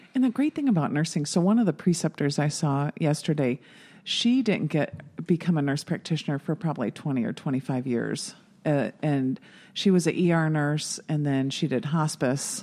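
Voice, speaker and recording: Against a quiet background, a woman with a very deep, low voice and a dark, mellow tone speaks at a moderate pace with lively intonation. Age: 50s. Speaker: nurse practitioner. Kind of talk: casual chat.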